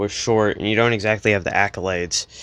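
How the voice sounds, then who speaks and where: A man is speaking. He goes at a fairly quick pace. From US Midwest. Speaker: sports fan vlogger. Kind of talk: casual monologue. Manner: animated.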